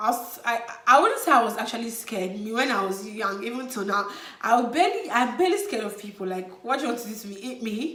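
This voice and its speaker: A woman speaks very fast at a fairly high pitch, her intonation lively and her loudness swinging widely, over noticeable background noise. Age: 20s. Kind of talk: casual talk to camera. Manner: energetic, upbeat.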